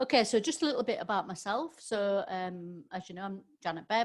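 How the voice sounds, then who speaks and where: A woman with a Yorkshire accent, medium pitch, lively intonation and a fairly quick pace. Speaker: business trainer. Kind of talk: webinar presentation. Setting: online webinar. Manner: hesitant, many fillers.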